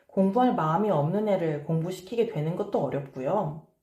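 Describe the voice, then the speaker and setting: The voice is dark, mellow and somewhat breathy, moving at a moderate pace with lively intonation. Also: woman. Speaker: parenting and study coach. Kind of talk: advice talk to camera.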